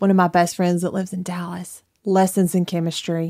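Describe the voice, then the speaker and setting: In a very clean recording with a silent background, a woman speaks at a moderate pace and medium pitch in a monotone, flat way. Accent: Alabama. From northern Alabama, Limestone County. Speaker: boutique owner and mother. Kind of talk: casual interview chat.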